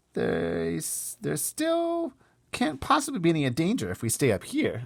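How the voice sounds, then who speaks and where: In a very clean recording with a silent background, a man performs a put-on character voice at a moderate pace. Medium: read story.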